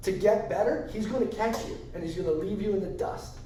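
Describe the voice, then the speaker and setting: With an American accent, a man talks in a high pitch at a moderate pace with fairly even intonation, amid noticeable background noise and audible room echo. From US Northeast, Long Island, New York. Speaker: tattoo artist. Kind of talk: casual chat.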